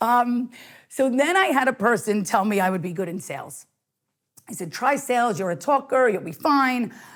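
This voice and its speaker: In a very clean recording with a silent background, the speaker talks at a moderate pace with an American accent. The pitch makes very wide swings. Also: woman, high pitch for a woman. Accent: Bronx accent, thick when comfortable. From US Northeast, New York (the Bronx). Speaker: sales and marketing director, chemical engineer. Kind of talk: podcast interview.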